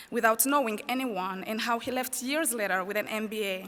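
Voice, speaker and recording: At a fairly quick pace, a woman speaks in a French accent. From Rwanda. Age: 20s. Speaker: student commencement speaker. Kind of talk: commencement speech. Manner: formal.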